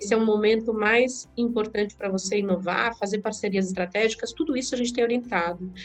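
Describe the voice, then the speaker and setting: Her pitch sits fairly high for a woman. She speaks with hardly any pauses. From Brazil, São Paulo area (Diadema), born in Alagoas. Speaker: entrepreneur, founder of a women's business network. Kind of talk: interview. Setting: remote recording from home.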